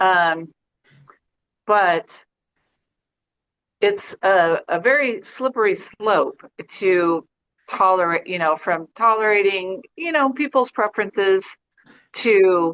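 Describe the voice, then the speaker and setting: In a dry, close sound with no echo, a woman speaks at a very slow pace with lively intonation and long, frequent pauses. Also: medium pitch for a woman. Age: 60s. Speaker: yoga student. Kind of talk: casual chat. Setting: video call.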